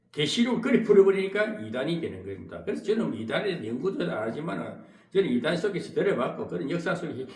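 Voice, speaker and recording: A man's high-pitched voice with a Gyeongsang accent, very wide pitch swings and a fairly quick pace, with noticeable background noise and audible room echo. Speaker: pastor. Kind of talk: sermon. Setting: church. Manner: halting, with filler interjections.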